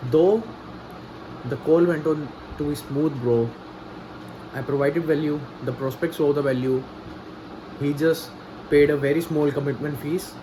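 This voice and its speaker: With noticeable background noise, a man with a non-native accent speaks at a moderate pace and fairly high pitch, pausing long and often. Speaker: vlogger, freelance copywriter. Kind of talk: personal video diary. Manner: halting, repetitive.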